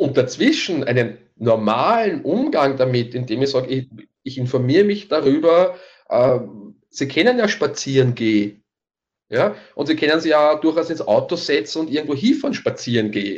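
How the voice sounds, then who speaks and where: Here a man talks at a fairly high pitch and moderate pace. His intonation is lively. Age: middle-aged. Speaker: fitness coach. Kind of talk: casual chat. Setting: online call. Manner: halting, many repetitions.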